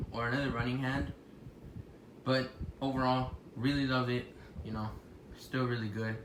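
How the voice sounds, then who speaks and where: There is audible room echo around a man speaking at a medium pitch. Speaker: toy reviewer. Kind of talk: product review. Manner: halting, filler-heavy; casual.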